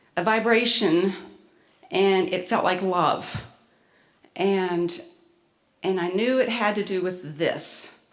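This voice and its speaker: With audible room echo, a woman speaks at a very slow pace with long, frequent pauses, medium pitch, and ordinary pitch variation. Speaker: spiritual workshop presenter. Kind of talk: presentation to an audience. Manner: halting, with many fillers.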